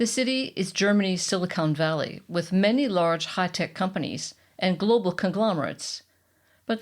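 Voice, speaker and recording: A woman speaks at a moderate pace in an unremarkable speaking voice, her pitch medium with ordinary variation. The recording is very clean, with a silent background. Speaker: podcast host. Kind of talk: podcast narration.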